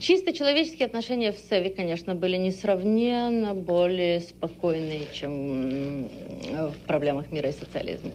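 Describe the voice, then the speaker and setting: A woman with a medium pitch has a plain, everyday voice. She talks at a moderate pace with lively intonation. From Odessa, Ukraine (USSR). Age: 30s. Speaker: economist and former interpreter. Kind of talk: interview.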